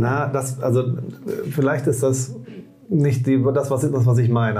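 The intonation is monotone and flat. Audible room echo surrounds the voice. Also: man. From Rhineland, Bonn. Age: 40s. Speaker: trade union leader. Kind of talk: casual interview. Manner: halting, many restarts.

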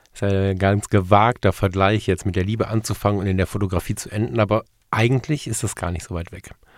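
Captured in a very clean recording with a silent background, a man with fairly low pitch talks very fast in a fairly even intonation. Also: big swings in loudness. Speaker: podcast host. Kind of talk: casual monologue.

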